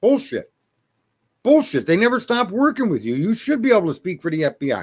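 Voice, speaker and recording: A man speaks in an animated tone, his pitch swinging very widely. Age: 60s. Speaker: livestream commentator. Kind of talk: opinion livestream rant. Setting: livestream. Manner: heavy swearing, repetitive stammering.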